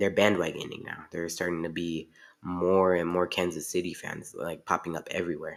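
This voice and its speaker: A man's very deep, low voice at a moderate pace, in a very clean recording with a silent background. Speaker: podcast host. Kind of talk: solo sports rant podcast. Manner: halting, with fillers and restarts.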